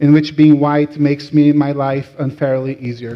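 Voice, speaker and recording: A man's fairly high-pitched voice with a Latin American accent. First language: Portuguese. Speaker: rabbi. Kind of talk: sermon.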